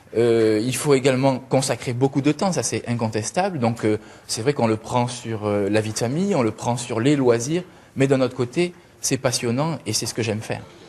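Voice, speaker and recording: Ordinary pitch variation in a man's medium-pitched voice, at a moderate pace. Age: 30s. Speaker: local politician, candidate. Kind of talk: interview.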